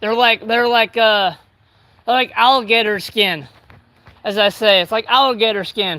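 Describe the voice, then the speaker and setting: A man's raised, projected voice with an American accent, high in pitch and bright and sharp in tone, moderate in pace with ordinary pitch variation and long, frequent pauses. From California. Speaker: livestreamer doing yard work. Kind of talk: casual live stream chat. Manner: loud; halting, filler-heavy.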